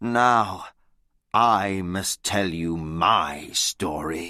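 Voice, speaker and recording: A man uses a put-on character voice, pitched very deep and low, with ordinary pitch variation. He speaks at a very slow pace in a very clean recording with a silent background. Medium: read story. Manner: simple, slow learner-level English.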